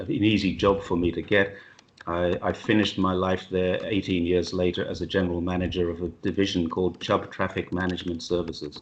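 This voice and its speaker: At a fairly quick pace, a man speaks in a very deep, low voice. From England. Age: 60s. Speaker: retired police officer and expat. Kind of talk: interview. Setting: video call. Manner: animated.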